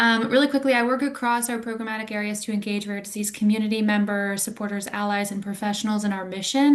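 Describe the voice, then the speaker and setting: Against noticeable background noise, a woman speaks very fast in a fairly high pitch with fairly even intonation. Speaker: community engagement staff. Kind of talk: webinar presentation.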